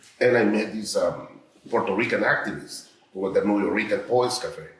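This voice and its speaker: Audible room echo and noticeable background noise are present. A man speaks through them at a moderate pace. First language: not English. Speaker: artist. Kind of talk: artist talk. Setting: art gallery with audience. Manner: halting.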